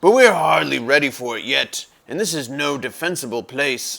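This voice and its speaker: In a put-on character voice, the speaker keeps to a moderate pace. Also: man, medium pitch for a man. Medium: read story.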